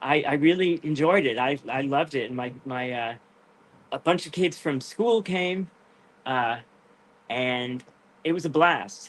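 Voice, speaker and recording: A man speaking at a fairly slow pace. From Rhode Island, US. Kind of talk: interview on live video show.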